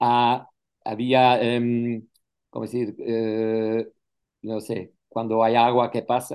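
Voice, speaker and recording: A man talks at a very slow pace in a dark, mellow tone. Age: 60s. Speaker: retired flight attendant, language student. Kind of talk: interview. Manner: halting, frequent hesitations and self-corrections.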